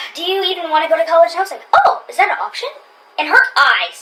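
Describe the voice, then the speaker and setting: A woman speaks in a raised, projected voice at an extremely high pitch. Her tone is animated. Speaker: YouTuber. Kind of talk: casual chat.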